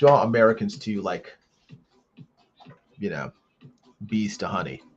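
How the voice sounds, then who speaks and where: A man of medium pitch speaks with lively intonation and big swings in loudness. Music plays in the background. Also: moderate pace. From United States. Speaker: comic artist streamer. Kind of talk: casual live stream chat while drawing. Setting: live stream. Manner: halting.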